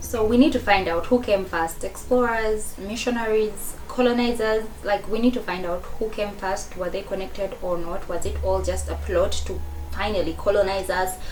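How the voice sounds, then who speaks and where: With noticeable background noise and audible room echo, a woman with a non-native accent speaks at a moderate pace with hardly any pauses. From Africa. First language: not English. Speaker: video reaction commentator. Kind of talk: reaction commentary. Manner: halting.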